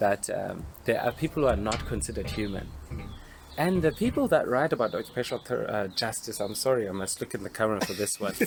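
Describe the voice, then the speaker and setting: Speaking at a very fast pace with lively intonation, a man of medium pitch talks with a South African accent. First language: Xhosa. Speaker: occupational therapist. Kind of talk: panel discussion.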